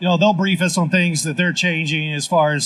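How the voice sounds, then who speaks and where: Speaking with a Southern US accent, a man uses a high pitch and fairly even intonation. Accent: Southern twang. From Tennessee (Lynchburg). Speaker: city government official. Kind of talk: live panel discussion. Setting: live stage at festival. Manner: halting, with fillers.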